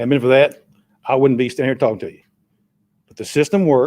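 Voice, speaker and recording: This voice has a dark, mellow tone with a Tennessee accent. Its intonation is fairly even. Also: man. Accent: US Southern (Tennessee). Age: 60s. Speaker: resident speaking at public comment. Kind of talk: public comment at a city meeting. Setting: city council meeting.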